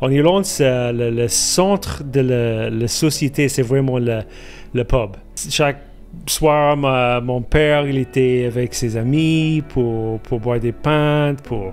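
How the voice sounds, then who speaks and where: A man with an Irish accent at medium pitch and a very slow pace, with ordinary pitch variation and music in the background. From Ireland. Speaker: guest sharing life testimony. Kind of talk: testimony interview. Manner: halting, many repetitions and hesitations.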